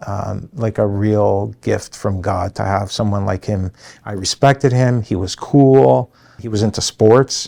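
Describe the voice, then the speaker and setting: A man with a fairly low pitch and a dark, mellow tone speaks at a fairly slow pace with ordinary pitch variation. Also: dry, close sound with no echo. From Canada, Toronto. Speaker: construction company president. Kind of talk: interview monologue. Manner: hesitant fillers.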